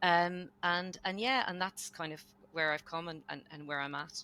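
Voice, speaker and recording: A woman speaks with an Irish accent in a fairly low pitch, her tone bright and sharp. Her pitch varies in an ordinary way, and the recording is very clean with a silent background. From Ireland, Dublin. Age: 50s. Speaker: lawyer and business owner. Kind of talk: podcast interview.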